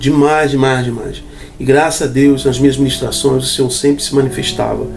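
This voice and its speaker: Audible room echo and noticeable background noise accompany a man's voice. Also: medium pitch for a man. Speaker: YouTube preacher, worship minister. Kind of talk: personal testimony. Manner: fast; animated.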